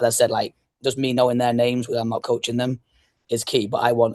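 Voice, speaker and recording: A man speaks with an English accent at a very fast pace in a monotone, flat intonation. The sound is dry and close, with no echo. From northwest England, Blackpool. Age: 30s. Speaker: youth soccer club founder and coach. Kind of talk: podcast interview.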